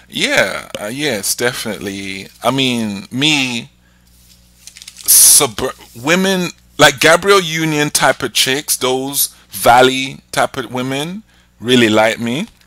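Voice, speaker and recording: Against noticeable background noise, a man at medium pitch speaks at a very slow pace with lively intonation. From England. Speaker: podcast host. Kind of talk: casual chat.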